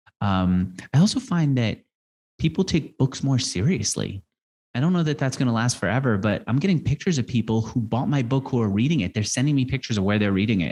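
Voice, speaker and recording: A man's medium-pitched voice at a fairly quick pace over a quiet background, a plain, everyday voice. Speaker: interviewer and author. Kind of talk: interview.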